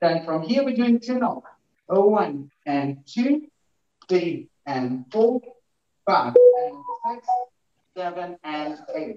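Very slow speech from a man with very wide pitch swings, with audible room echo against a quiet background. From Ukraine. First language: Ukrainian. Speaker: dancer; dance instructor. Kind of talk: tutorial. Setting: video call. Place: home room. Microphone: video call.

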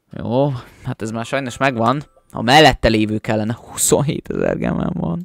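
A man at medium pitch talks in an animated tone at a fairly slow pace, with ordinary pitch variation and a dry sound with no echo. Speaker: gaming YouTuber; gaming streamer. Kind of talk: gameplay commentary. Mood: mildly frustrated at duplicates. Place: home room.

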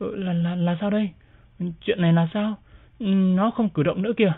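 A shaky put-on character voice at a moderate pace. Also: woman, medium pitch for a woman. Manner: trembling, disbelieving.

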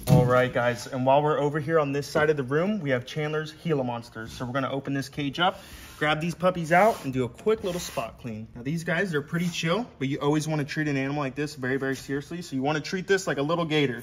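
Music plays in the background as a man talks at a very fast pace with ordinary pitch variation. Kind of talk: casual vlog chat. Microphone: phone near.

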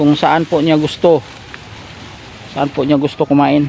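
A man's fairly high voice at a moderate pace, amid noticeable background noise. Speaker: goat-raising vlogger. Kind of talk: vlog narration outdoors. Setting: outdoors in a pasture.

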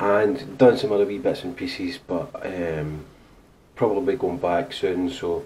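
Somewhat breathy, with a dark, mellow tone, over light background noise. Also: man. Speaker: vlogger. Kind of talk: casual vlog chat. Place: home room. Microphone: camera far.

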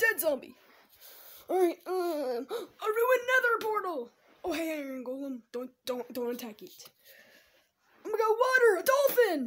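An extremely high-pitched cartoonish character voice at a moderate pace, with very wide pitch swings and long, frequent pauses. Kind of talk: gameplay commentary. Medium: puppet. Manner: excited, upbeat.

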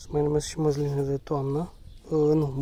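The sound is dry with no echo. The pace is fairly slow. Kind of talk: casual tutorial walkthrough. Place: garden. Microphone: phone near.

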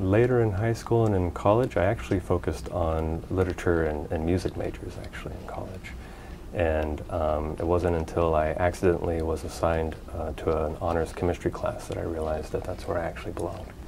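At a fairly quick pace, a man with an American accent speaks in a very deep, low pitch with ordinary pitch variation over light background noise. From California. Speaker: research scientist. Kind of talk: interview monologue. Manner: hesitant, many fillers. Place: office. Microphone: lapel.

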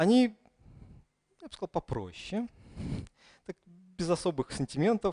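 A man with a Russian accent at a fairly slow pace, in a quiet background. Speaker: conference speaker. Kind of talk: conference talk. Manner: hesitant with fillers. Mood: humorous storytelling. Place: hall.

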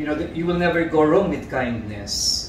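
Over light background noise and audible room echo, a man speaks with ordinary pitch variation. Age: 60s. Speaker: fashion designer. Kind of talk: interview answer. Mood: warm, reflective. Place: home room.

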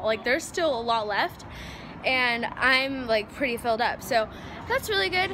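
A woman's raised, projected voice comes at a moderate pace over light background noise. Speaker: vlogger. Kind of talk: casual vlog chat. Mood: cheerful, excited. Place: street. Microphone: phone near.

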